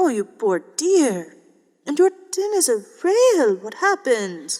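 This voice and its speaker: A female-sounding voice puts on a character voice, pitched high for a woman. She talks at a fairly slow pace with very wide pitch swings. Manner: warm, sympathetic.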